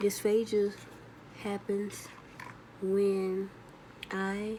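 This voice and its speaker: A woman's monotone, flat intonation amid noticeable background noise. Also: medium pitch for a woman. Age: 40s. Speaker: stroke survivor vlogger. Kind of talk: casual vlog monologue. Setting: video recording for YouTube. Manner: halting with frequent pauses; delayed speech with yawning.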